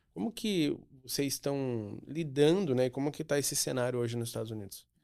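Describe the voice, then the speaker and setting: This man talks at a fairly quick pace in a medium-pitched voice with a dark, mellow tone and ordinary pitch variation. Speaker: podcast host. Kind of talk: interview.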